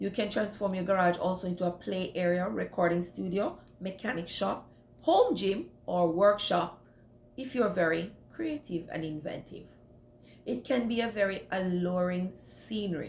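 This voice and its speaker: A somewhat breathy woman speaks at a moderate pace with ordinary pitch variation. Audible room echo and light background noise come through. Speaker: home cleaning vlogger. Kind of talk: casual vlog advice. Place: home room. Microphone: phone near.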